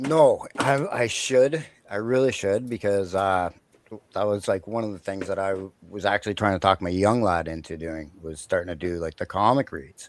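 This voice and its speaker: An unremarkable speaking voice with a Canadian accent moves at a moderate pace with lively intonation. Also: man, fairly low pitch for a man. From Canada. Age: 40s. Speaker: collector and livestream guest. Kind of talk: casual interview chat.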